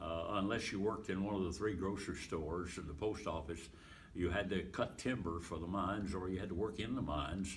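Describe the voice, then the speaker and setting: A man speaks at a fairly quick pace in a very deep, low, somewhat breathy voice with ordinary pitch variation. Audible room echo surrounds him. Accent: American. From Pennsylvania. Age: 80s+. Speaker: evangelist and retired pastor. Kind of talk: interview, life story. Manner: halting, many fillers.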